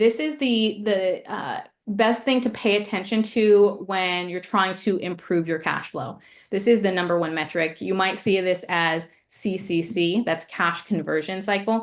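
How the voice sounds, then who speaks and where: At a fairly slow pace, a woman talks in a plain, everyday voice with medium pitch and ordinary pitch variation. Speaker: ecommerce finance presenter. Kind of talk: webinar presentation.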